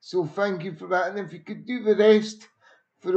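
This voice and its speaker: The speaker is a man. His pitch is high. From Scotland. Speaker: football pundit. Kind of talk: live stream football review.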